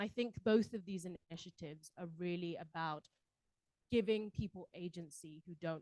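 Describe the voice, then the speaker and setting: A woman with a British accent, lively intonation, and a dry, close sound with no echo. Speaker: panelist at a civil society forum. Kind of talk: panel discussion. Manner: frequent fillers and repetitions.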